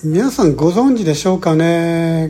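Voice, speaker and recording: Noticeable background noise runs under this clip. Over it, a man speaks in a fairly high voice. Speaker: podcast host, real estate investor. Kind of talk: solo podcast monologue. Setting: alone in a room abroad. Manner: halting, many fillers.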